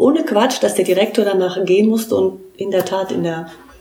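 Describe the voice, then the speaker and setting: With noticeable background noise present, a woman speaks at a fairly quick pace. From Trier, Germany. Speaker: art historian and author. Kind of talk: interview. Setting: living room at home. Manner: frequent hesitations.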